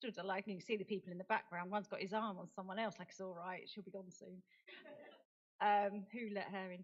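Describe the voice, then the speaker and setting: Speaking at a fairly quick pace, a woman with a British accent keeps a monotone, flat intonation at medium pitch while her loudness swings widely. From United Kingdom. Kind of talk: conference talk. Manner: halting.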